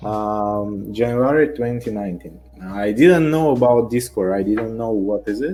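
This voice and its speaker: A man with a Russian accent talks fairly slowly at a medium pitch with ordinary pitch variation and hardly any pauses, with music playing in the background. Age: 20s. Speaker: online game player. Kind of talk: interview. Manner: halting.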